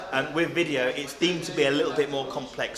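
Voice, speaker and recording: Over noticeable background noise and audible room echo, a man with a fairly high pitch talks at a fairly quick pace. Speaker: videographer. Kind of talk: interview. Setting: on location with camera-mounted mic. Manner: loud.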